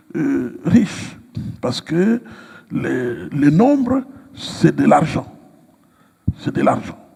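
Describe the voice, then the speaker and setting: A man speaks at a very slow pace. Noticeable background noise can be heard. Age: 60s. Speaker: pastor. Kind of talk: interview. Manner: hesitant with frequent fillers.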